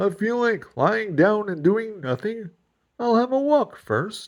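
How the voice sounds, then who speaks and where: Fairly slow delivery in a put-on character voice pitched fairly high. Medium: read story.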